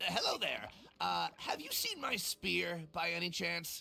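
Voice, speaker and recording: At a moderate pace, a speaker puts on a character voice. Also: man. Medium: video game. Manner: hesitant, sheepish.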